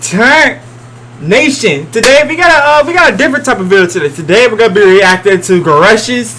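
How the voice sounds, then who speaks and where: Against noticeable background noise, a man speaks in a raised, projected voice at a moderate pace, his pitch swinging very widely. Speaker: gaming YouTuber. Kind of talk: reaction video commentary. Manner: loud; casual, hesitant.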